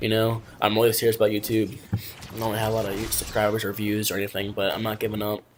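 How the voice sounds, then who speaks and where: There is noticeable background noise as a man speaks with a fairly low pitch. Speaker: gaming youtuber. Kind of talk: casual commentary video. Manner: halting, stumbling over words.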